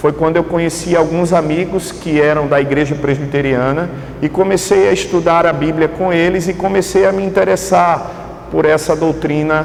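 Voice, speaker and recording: With a northeastern Brazilian accent, a man with a fairly high voice talks at a moderate pace with fairly even intonation and very even loudness, amid noticeable background noise and audible room echo. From Brazilian Northeast, Pernambuco (greater Recife). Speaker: pastor. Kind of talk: sermon. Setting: church. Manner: halting, many fillers.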